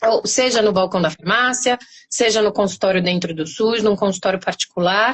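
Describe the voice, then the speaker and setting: A woman with a São Paulo accent, medium pitch, ordinary pitch variation and very even loudness. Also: moderate pace. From Brazil, São Paulo. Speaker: pharmacist. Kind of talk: interview.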